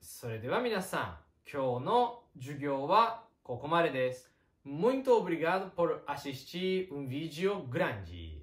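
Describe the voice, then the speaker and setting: Speaking at a very slow pace with hardly any pauses, a man with a Japanese accent uses a fairly high pitch, very wide pitch swings and big swings in loudness. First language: Japanese (speaking Portuguese). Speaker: Japanese teacher. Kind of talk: online language lesson.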